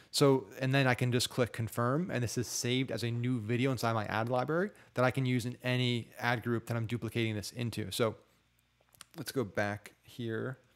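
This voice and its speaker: A man talks at a fairly quick pace with fairly even intonation over a quiet background. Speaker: online marketing tutor; ad marketing creator. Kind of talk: screen-share tutorial; tutorial. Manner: fast; casual with filler words. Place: home room. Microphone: studio mic.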